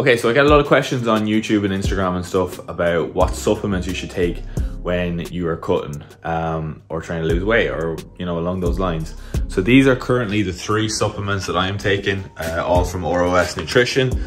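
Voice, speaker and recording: Clear music plays behind a man talking at a fairly quick pace. His pitch is very deep and low. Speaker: fitness vlogger. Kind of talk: casual vlog chat. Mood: relaxed, just woke up. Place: kitchen. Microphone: phone near.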